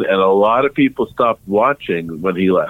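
At a moderate speed and with ordinary pitch variation, this man talks in a normal speaking voice. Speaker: music journalist. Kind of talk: casual interview chat.

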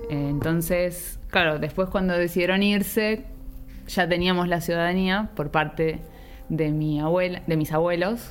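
A woman speaks at a fairly slow pace with a fairly low pitch and fairly even intonation. Her loudness stays very even, and music plays in the background. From Argentina, Buenos Aires (Villa Ballester). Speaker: nutrition researcher. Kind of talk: casual chat. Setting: in a pub.

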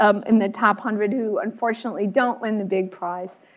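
Here a woman speaks with an American accent at a fairly high pitch. Her intonation is fairly even, and it is a normal speaking voice. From Chicago, US Midwest. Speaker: historian and author. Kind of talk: author talk and panel discussion. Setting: luncheon event with audience.

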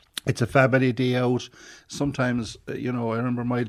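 In a Cork accent, the speaker talks at a very fast pace with monotone, flat intonation on a very clean recording with a silent background. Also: man. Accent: Cork Irish. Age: 50s. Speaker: local councillor. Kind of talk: radio interview. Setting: studio. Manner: halting, repeats words.

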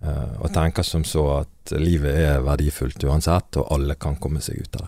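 The voice has a dark, mellow tone, vocal fry and fairly even intonation. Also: man. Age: 30s. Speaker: leader of a prisoner re-entry organization. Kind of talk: podcast interview.

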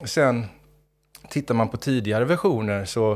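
The speaker is a man. He talks in a Gothenburg accent. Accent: Gothenburg Swedish. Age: 50s. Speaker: rapper and creative director. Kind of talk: casual interview chat. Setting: studio. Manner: animated.

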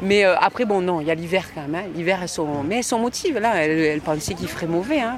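Noticeable background noise surrounds a woman speaking in a fairly low pitch. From Marseille, southern France. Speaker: surgeon and rugby club president. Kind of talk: interview. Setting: outdoors.

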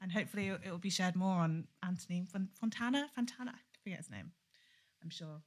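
Speaking at a very fast pace, a woman uses a medium pitch with ordinary pitch variation. Her voice is somewhat breathy and swings widely in loudness. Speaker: podcast co-host. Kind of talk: podcast interview.

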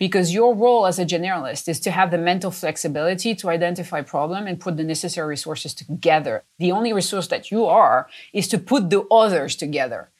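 In a French accent, a woman speaks at a very fast pace with hardly any pauses, her fairly low pitch showing ordinary pitch variation, on a very clean recording with a silent background. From France. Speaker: company chief executive. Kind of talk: interview.

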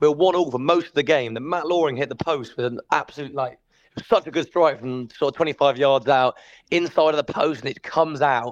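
Recorded with a dry, close sound and no echo, a man with an ordinary speaking voice talks at a fairly quick pace with ordinary pitch variation. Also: fairly high pitch for a man. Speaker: match commentator and journalist. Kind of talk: casual recap interview.

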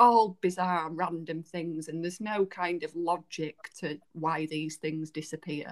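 A woman in a Yorkshire accent at a fairly slow pace. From Yorkshire, England. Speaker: podcast co-host, book reviewer. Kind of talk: casual chat.

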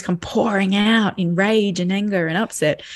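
A woman speaks with an Australian accent at medium pitch. Her intonation is monotone and flat. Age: 40s. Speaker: parenting educator. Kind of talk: interview.

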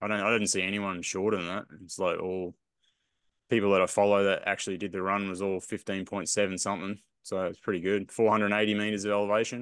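Over a quiet background, a man with an Australian accent talks very fast in a fairly low, monotone, flat voice. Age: 40s. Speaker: podcast co-host, runner. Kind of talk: casual chat.

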